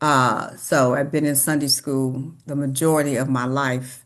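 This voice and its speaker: A woman speaks with an American accent and a very deep, low pitch. Her pace is fairly slow and her intonation fairly even. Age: 70s. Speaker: longtime church member. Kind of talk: oral history interview. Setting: sit-down interview.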